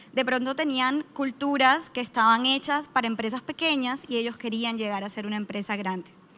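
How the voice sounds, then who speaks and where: A bright, sharp tone with a Colombian accent, moderate pace, ordinary pitch variation and hardly any pauses. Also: woman, high pitch for a woman. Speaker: startup founder and team-building consultant. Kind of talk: conference panel talk. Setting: stage with audience.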